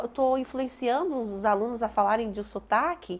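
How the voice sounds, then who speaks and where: A woman's high-pitched voice, fairly slow in pace, with lively intonation. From Brazilian Northeast, Bahia–Minas border. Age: 30s. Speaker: teacher. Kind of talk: interview testimony.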